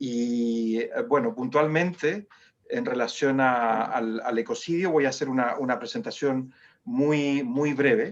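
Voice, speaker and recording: A man with a Chilean accent talks at a fairly slow pace and medium pitch with ordinary pitch variation. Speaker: human rights foundation director. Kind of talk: webinar presentation. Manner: halting, many fillers.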